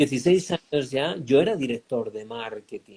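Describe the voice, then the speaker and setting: A man talks at a fairly slow pace with ordinary pitch variation, the sound dry and close with no echo. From Spain. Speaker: life coach. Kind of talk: interview. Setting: online live stream.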